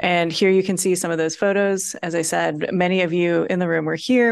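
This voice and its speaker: Over a quiet background, a woman at a medium pitch speaks at a moderate pace in a monotone, flat intonation. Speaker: workshop facilitator. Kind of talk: public meeting presentation.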